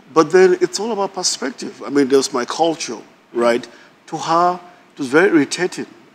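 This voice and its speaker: A man with a northern Nigerian accent speaks at a fairly quick pace in a high pitch. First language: Hausa. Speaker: married guest on a couples show. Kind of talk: casual chat.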